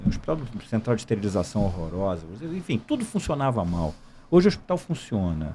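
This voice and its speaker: A man talks in a fairly low voice with a dark, mellow tone. His pitch swings very widely, and his pace is fairly quick. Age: 60s. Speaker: military police gynecologist, retired colonel. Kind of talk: podcast interview.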